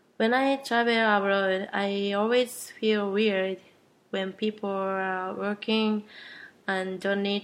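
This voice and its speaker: In a Japanese accent, a woman speaks at a very slow pace with monotone, flat intonation. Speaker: podcast host. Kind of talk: casual chat.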